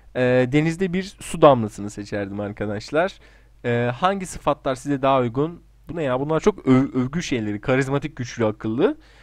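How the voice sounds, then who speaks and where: A man speaks in a plain, everyday voice at a moderate pace and medium pitch. His intonation is lively against a quiet background. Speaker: gaming YouTuber. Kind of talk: casual solo commentary doing online quizzes.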